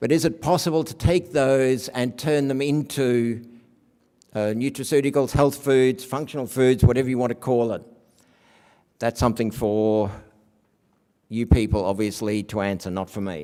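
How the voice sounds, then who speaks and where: With an Australian accent, a man speaks in a dark, mellow tone, showing ordinary pitch variation and long, frequent pauses. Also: medium pitch for a man, moderate pace. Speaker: academic researcher. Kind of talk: conference lecture.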